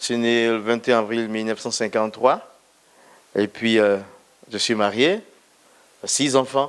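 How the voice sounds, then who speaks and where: The speaker talks at a fairly slow pace. The intonation stays fairly even. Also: man. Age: 60s. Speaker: pastor. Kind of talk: testimony.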